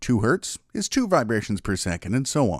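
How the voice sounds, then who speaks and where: A man's medium-pitched voice with vocal fry and very wide pitch swings, at a moderate pace, in a dry, close recording with no echo, very clean and against a silent background. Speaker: narrator. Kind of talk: documentary narration about mysteries.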